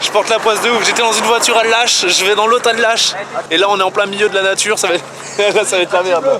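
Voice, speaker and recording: A man speaks in an animated, raised and projected voice at a very fast pace, his pitch high and his loudness very even, over noticeable background noise. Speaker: vlogger. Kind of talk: casual vlog.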